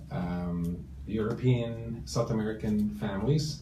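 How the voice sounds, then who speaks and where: With a Canadian accent, a man speaks amid audible room echo. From Toronto, Canada. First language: Italian. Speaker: real estate broker. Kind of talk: interview. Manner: halting, many fillers.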